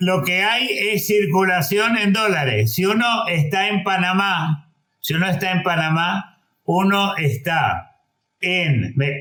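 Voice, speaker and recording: Very slow in pace, a man speaks at a high pitch with a bright, sharp tone and lively intonation. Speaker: economist. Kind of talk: panel discussion. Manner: halting.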